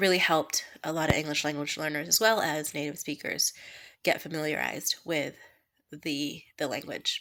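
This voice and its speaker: A woman with an American accent, a bright, sharp tone, fairly even intonation and a moderate pace. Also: very clean recording, silent background. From United States. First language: Kannada. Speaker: education student. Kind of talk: personal vlog. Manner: hesitant, many fillers.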